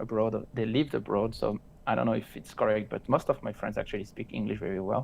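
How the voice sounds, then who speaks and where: Speech comes at a very fast pace. It is delivered with a French accent. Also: man. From France. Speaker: crypto trader. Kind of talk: casual chat.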